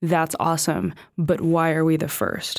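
A woman speaks with an American accent and a fairly low pitch. The recording is very clean, with a silent background. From US, California. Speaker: film director. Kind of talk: casual interview.

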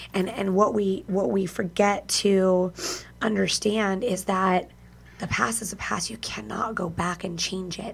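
Fairly even intonation in a somewhat breathy female voice. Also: medium pitch for a woman. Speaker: radio host. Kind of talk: casual chat. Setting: video call.

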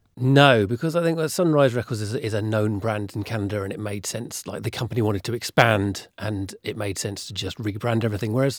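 A man with a plain, everyday voice talks at a fairly quick pace with ordinary pitch variation in a very clean recording with a silent background, the sound dry and close with no echo. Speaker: podcast host. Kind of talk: casual banter and news discussion.

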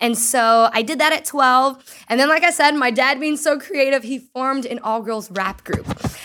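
A woman speaks in a raised, projected voice at a high pitch, with a bright, sharp, animated tone. Her pace is moderate with hardly any pauses and ordinary pitch variation. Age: 20s. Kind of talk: casual chat.

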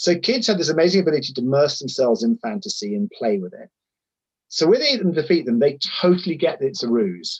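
Rattling along at a very fast pace, a man with a fairly high pitch makes very wide pitch swings. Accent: southern English. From southern England, Sussex. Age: 50s. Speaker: charity chief executive. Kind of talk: interview.

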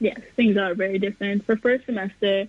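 With noticeable background noise behind it, the voice moves at a fairly quick pace. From New York, Brooklyn. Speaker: college student. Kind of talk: radio interview.

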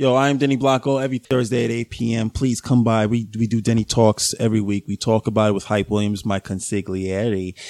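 Fairly quick, fairly even-toned speech with an American accent and hardly any pauses. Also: man, medium pitch for a man. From New York, the Bronx. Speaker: podcast guest. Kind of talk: casual chat. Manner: halting.

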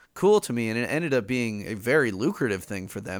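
Talking at a fairly quick pace with an American accent, a man uses a normal speaking voice, a medium pitch, and lively intonation. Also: very clean recording, silent background. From Chicago. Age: 30s. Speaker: music teacher and podcaster. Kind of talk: casual chat.

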